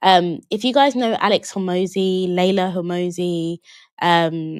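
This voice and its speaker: A woman speaks in a London accent with a fairly low pitch. Her fairly even intonation comes through in a dry, close sound with no echo. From London, England (Jamaican British family). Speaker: online business coach. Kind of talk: live webinar Q&A. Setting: livestream. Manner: casual, conversational.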